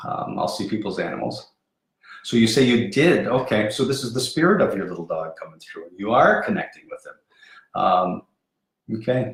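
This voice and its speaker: A man speaks at a moderate pace. His loudness swings widely. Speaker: spiritual medium. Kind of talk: live stream psychic readings. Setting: Facebook live video stream. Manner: halting, repeats words.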